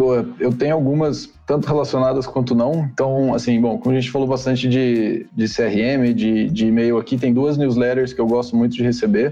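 A man with a dark, mellow tone speaks at a moderate pace and medium pitch, with hardly any pauses, very even loudness and fairly even intonation. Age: 20s. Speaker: CRM manager. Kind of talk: casual chat.

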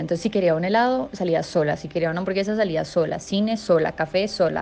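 A woman speaks at a fairly quick pace with ordinary pitch variation. Her pitch sits fairly low. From Colombia, Medellín. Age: 20s. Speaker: social communicator. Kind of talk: personal testimony. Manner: halting, with fillers and repetitions.

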